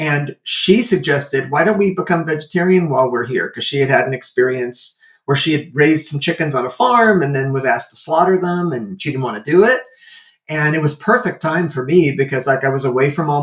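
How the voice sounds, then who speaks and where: A man's fairly high, somewhat breathy voice at a fairly quick pace, with ordinary pitch variation. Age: 60s. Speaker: animal welfare entrepreneur and martial artist. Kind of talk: interview conversation. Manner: casual with fillers.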